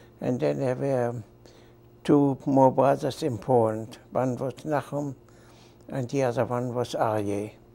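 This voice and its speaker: His speech moves at a very slow rate. The pitch shows ordinary variation. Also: medium pitch for a man. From Germany. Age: 70s. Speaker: Holocaust survivor. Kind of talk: testimony. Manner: halting.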